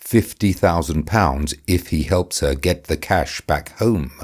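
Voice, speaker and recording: Speaking at a fairly slow pace with vocal fry, a man uses a very deep, low pitch that swings very widely, on a very clean recording with a silent background. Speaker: author and audiobook narrator. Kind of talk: audiobook reading of a dark comedy novel.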